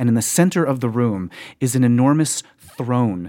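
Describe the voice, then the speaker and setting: A man's dark, mellow voice at medium pitch with ordinary pitch variation. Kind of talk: ghost story telling. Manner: vivid, immersive second-person narration, building tension with repeated phrases.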